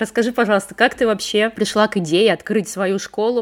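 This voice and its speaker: A woman speaks in an ordinary speaking voice, fairly high in pitch. Her pace is fairly quick and her intonation fairly even. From Russia, Leningrad region. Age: 30s. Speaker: podcast host, copywriter. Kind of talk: casual interview chat.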